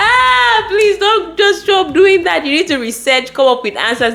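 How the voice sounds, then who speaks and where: Noticeable background noise sits behind a woman speaking at a moderate pace in a Nigerian accent. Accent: Nigerian, largely kept. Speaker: lawyer and career advice vlogger. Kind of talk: advice talk to camera. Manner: conversational, with fillers and restarts.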